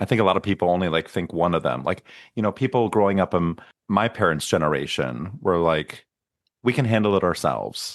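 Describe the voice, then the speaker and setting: Over a quiet background, a man with a very deep, low pitch and vocal fry talks at a fairly quick pace, his intonation lively and his loudness very even. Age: 40s. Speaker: podcast host. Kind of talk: interview conversation.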